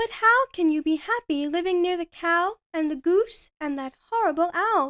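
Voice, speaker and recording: Putting on a character voice, a woman goes squeaky and extremely high-pitched, with lively intonation, a moderate pace and hardly any pauses, recorded dry and close with no echo. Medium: read story. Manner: jumpy.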